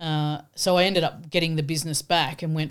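A woman with an Australian accent speaks in a very deep, low pitch at a fairly quick pace. Her intonation is monotone and flat, on a very clean recording with a silent background. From rural Australia. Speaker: entrepreneur. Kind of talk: interview conversation.

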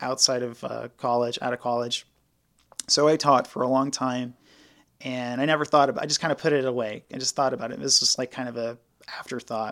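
Speaking at a very fast pace, a man keeps his pitch in the medium range. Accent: American. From rural South Carolina. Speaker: crisis counselor. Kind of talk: interview.

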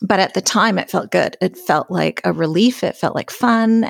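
A woman with a western Canadian accent speaks at a moderate pace, recorded very cleanly against a silent background with a dry, close sound and no echo. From Alberta, Canada. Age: 50s. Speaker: sobriety podcaster and author. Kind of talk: interview.

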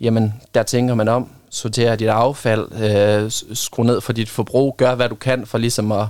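Using an ordinary speaking voice, a man talks at a medium pitch and a moderate pace with fairly even intonation. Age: 20s. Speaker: volunteer litter picker. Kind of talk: casual interview. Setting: studio.

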